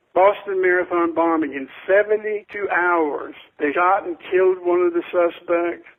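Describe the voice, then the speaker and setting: A man with a high pitch and fairly even intonation, at a moderate pace with hardly any pauses. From Florida. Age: 60s. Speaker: school safety expert. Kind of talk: interview. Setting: phone call. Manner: emphatic.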